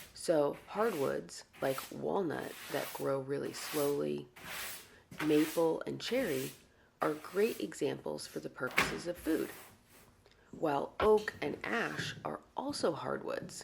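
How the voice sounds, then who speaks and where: The woman is soft-spoken. She talks at a very slow pace. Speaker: woodworker. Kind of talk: soft-spoken ASMR tutorial narration.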